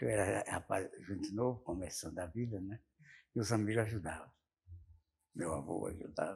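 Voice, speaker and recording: Against a quiet background, a man with a fairly low pitch speaks at a moderate pace in a somewhat breathy voice with ordinary pitch variation. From Sergipe, northeastern Brazil. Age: 80s+. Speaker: former mayor and farmer. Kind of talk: interview. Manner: halting, repetitive.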